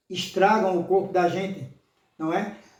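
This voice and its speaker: Over audible room echo, a man with a high pitch and a dark, mellow tone speaks at a very slow pace. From Brazil, Pernambuco (Limoeiro). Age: 60s. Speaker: lay preacher. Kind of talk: sermon. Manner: halting, with many fillers.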